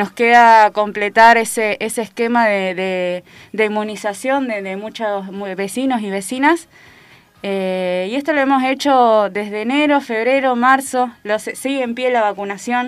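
This woman's pitch is fairly high. She talks at a fairly slow pace, with ordinary pitch variation. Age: 20s. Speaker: primary health care worker. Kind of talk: radio interview. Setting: radio studio. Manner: halting, many fillers.

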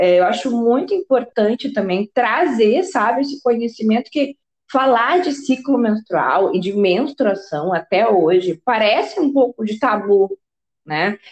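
Her pitch fairly high and swinging very widely, a woman talks at a fairly slow pace in a dry, close sound with no echo. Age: 30s. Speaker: podcast host. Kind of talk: casual interview chat.

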